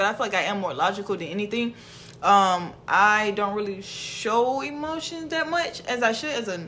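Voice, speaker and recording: A woman with a Southern US accent at a moderate pace, lively intonation and noticeable background noise. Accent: Southern US, country. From Mississippi, US South. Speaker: podcast host. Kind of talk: casual chat, podcast banter.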